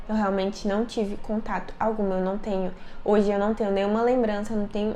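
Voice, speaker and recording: With music in the background and audible room echo, a woman at medium pitch speaks at a fairly quick pace, her loudness very even. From Brazil, Brasília. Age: 20s. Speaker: youtuber. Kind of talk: personal storytelling vlog. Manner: casual, conversational.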